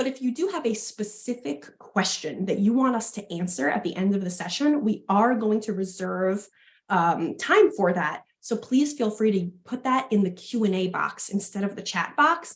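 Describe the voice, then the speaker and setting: A somewhat breathy woman with a strong New York accent, a fairly high pitch and lively intonation, at a moderate pace with hardly any pauses. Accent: thick New York. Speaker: fitness education manager and health coach. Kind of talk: webinar presentation.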